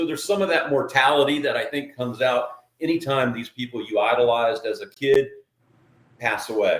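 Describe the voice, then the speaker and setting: Speaking at a fairly quick pace, a man with an ordinary speaking voice has a fairly high pitch and ordinary pitch variation. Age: 60s. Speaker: podcast host. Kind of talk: casual chat.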